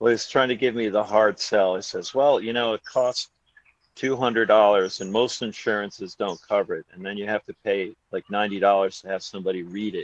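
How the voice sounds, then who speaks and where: A man with fairly low pitch and an ordinary speaking voice talks at a fairly quick pace with fairly even intonation, in a dry, close sound with no echo. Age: 60s. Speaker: podcast co-host. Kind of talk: casual chat.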